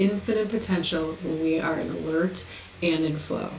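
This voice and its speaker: Her tone is calm and soothing, with fairly even intonation. The woman speaks at a moderate pace amid noticeable background noise. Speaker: oracle deck artist and author. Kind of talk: spiritual reading of oracle card text. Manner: calm, soothing.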